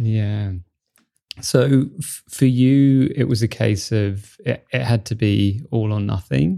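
A man talks at a very slow pace, his medium-pitched voice showing ordinary pitch variation. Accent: British. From Britain. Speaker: podcast host, meditation teacher and sober coach. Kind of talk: interview. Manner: halting, repeats words.

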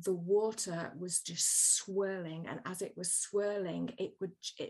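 With an English Midlands accent, a woman of medium pitch talks at a very slow pace with fairly even intonation. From England, Birmingham. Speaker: storytelling coach and author. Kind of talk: interview conversation.

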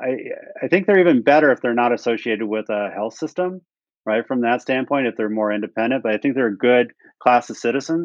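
This man has a normal speaking voice at a medium pitch. He speaks at a fairly quick pace with ordinary pitch variation. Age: 60s. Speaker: health technology company executive. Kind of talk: interview.

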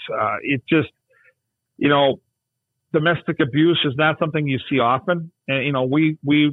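This man has a fairly high voice and talks at a moderate pace with fairly even intonation. He leaves long, frequent pauses. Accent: Upper Midwest. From Minnesota (Burnsville). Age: 50s. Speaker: hockey broadcaster. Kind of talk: casual chat.

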